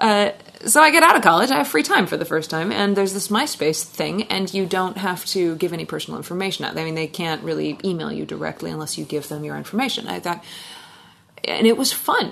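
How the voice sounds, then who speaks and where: A woman with a Pacific Northwest accent talking very fast, her loudness swinging widely, with noticeable noise in the background. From Washington State, US. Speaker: singer-songwriter. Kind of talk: casual interview chat. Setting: in person in a living room.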